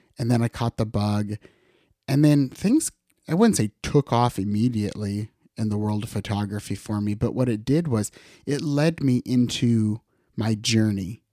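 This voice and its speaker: Recorded very cleanly with a silent background and a dry, close sound with no echo, a man with a Midwestern American accent speaks at a medium pitch and moderate pace, his dark, mellow tone showing ordinary pitch variation. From western Iowa. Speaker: photographer and podcast host. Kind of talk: solo podcast monologue. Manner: casual, conversational.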